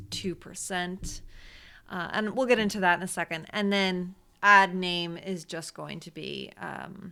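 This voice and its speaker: The speech moves at a fairly slow pace with a bright, sharp tone and monotone, flat intonation. Loudness swings a lot against a quiet background. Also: woman, medium pitch for a woman. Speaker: Facebook ads consultant and teacher; teacher. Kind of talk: tutorial. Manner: casual. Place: home room.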